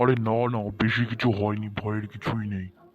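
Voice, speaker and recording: A man does a cartoonish character voice, fairly low-pitched and monotone, with flat intonation. He talks at a moderate pace. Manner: casual, offhand.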